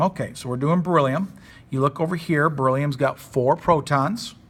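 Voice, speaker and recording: A man talks with a somewhat breathy voice. The background is silent and the recording very clean. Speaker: high school chemistry teacher. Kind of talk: recorded classroom lesson. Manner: fast; casual.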